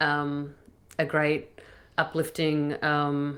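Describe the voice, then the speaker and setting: A woman with a very deep, low pitch and an Australian accent, on a very clean recording with a silent background. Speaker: singer-songwriter. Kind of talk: interview answer. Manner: deadpan.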